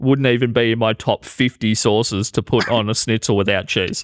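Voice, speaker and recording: In an Australian accent, a man speaks at a moderate pace and medium pitch with fairly even intonation, the sound dry and close with no echo, the recording very clean over a silent background. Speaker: podcast co-host and comedian. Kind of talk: casual chat.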